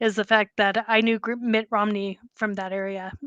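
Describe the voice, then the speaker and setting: A woman speaks in an American accent at a fairly high pitch, her tone bright and sharp. The sound is dry and close with no echo, over a quiet background. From Boston. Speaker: writer. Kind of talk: interview answer.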